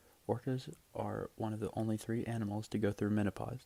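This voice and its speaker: A man talks at a fairly quick pace and a fairly low pitch. His dark, mellow tone is somewhat breathy. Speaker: ASMR video creator. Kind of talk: casual fact reading to camera. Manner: casual, hesitant, conversational.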